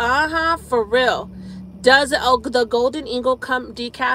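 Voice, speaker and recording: A woman is heard with light background noise. The sound is dry, with no echo. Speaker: live streamer. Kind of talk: casual live stream chat. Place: car. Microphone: phone near.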